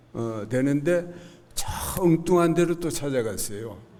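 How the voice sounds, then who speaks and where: Audible room echo surrounds a man's voice. His pitch is fairly high and his pace very slow. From South Korea, Gyeongnam (Haman county). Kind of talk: church testimony. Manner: halting, many fillers.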